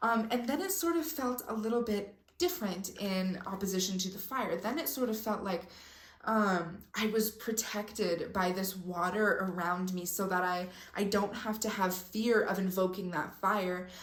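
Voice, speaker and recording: An energetic woman at medium pitch, with ordinary pitch variation and a moderate pace, plus audible room echo and noticeable background noise. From Mexico. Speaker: spiritual content creator. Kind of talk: casual vlog talk.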